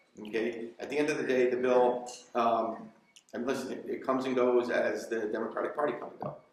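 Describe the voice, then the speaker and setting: Over noticeable background noise and audible room echo, a man speaks at a very fast pace with an American accent. His medium-pitched voice has monotone, flat intonation. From Connecticut. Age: 30s. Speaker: state legislator. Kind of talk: town hall discussion. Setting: community meeting.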